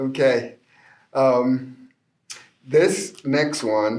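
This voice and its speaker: A man's medium-pitched voice in a Spanish accent. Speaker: poet. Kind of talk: poetry reading with commentary. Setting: library.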